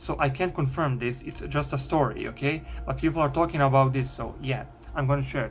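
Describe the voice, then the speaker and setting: With a non-native accent, a man speaks over background music, with audible room echo. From Bosnia. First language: Bosnian. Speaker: YouTuber. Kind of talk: storytelling. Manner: halting.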